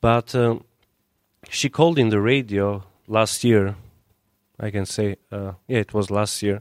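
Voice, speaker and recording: In a very clean recording with a silent background and a dry, close sound with no echo, a man with an Albanian accent speaks at a very slow pace and fairly low pitch, with fairly even intonation and long, frequent pauses. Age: young. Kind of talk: interview.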